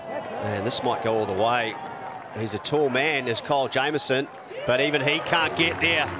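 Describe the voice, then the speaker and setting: Noticeable background noise sits behind the speech. A man talks with very even loudness. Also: medium pitch for a man, ordinary pitch variation. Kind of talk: sports commentary highlights. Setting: cricket ground commentary. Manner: fast, clipped play-by-play delivery; rising excitement at wickets and the tense finish.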